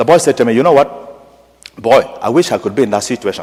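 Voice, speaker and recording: Someone with a strong African accent speaks at a very fast pace. Noticeable background noise can be heard. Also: man. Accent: strong African accent, kept. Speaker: parish priest. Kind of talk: sermon. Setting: church, Mass. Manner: animated storytelling.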